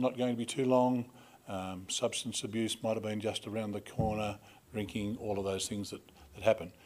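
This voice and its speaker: Speaking with fairly even intonation and a fairly low pitch, a man keeps a moderate pace in a normal speaking voice. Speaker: conference MC. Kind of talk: introduction speech. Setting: stage with audience. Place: hall. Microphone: podium.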